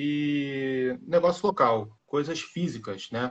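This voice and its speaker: A man talks very slowly, his fairly high pitch showing ordinary pitch variation. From Rio de Janeiro, Brazil. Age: 30s. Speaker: paid traffic manager. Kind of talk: casual interview. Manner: halting, many repetitions.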